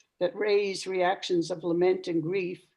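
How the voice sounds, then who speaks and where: At a moderate pace, a woman of medium pitch talks with a dark, mellow tone and ordinary pitch variation. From Newfoundland, Canada. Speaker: retired professor of religion and ecology. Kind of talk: lecture. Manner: formal.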